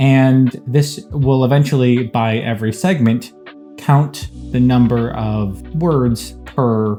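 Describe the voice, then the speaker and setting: A man at a very slow pace, medium in pitch with ordinary pitch variation, over music in the background. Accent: American. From US Northeast. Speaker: ICU doctor and data scientist. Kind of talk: casual talk to camera.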